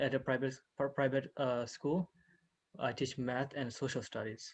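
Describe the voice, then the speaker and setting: In a quiet background, a man at medium pitch speaks at a moderate pace with fairly even intonation. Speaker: student. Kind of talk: class introduction. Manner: halting.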